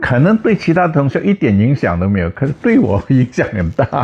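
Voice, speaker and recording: A man talks at a moderate pace in a dark, mellow tone that is somewhat breathy. His pitch swings very widely. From Indonesia. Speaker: physicist, professor. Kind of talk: interview answer. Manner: plainspoken, humorous.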